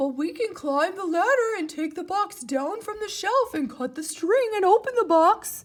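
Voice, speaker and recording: This put-on character voice is pitched extremely high. It moves at a moderate pace. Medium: read story. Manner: earnest, excitable.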